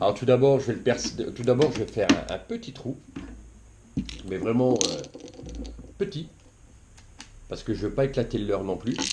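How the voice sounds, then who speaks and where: Medium pitch from a man with ordinary variation, moderate pace with long, frequent pauses, and noticeable background noise. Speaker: fishing YouTuber. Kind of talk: tutorial. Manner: halting, many fillers.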